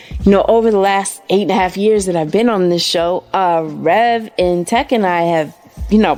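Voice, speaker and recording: Against noticeable background noise, a woman with a medium pitch speaks in an animated tone at a moderate pace. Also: ordinary pitch variation. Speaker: radio show co-host. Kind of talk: radio segment monologue.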